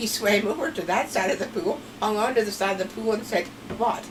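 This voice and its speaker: Against noticeable background noise, a woman with a Pennsylvania Dutch accent talks at a moderate pace with fairly high pitch. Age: old. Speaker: grandmother telling family stories. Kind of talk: storytelling interview.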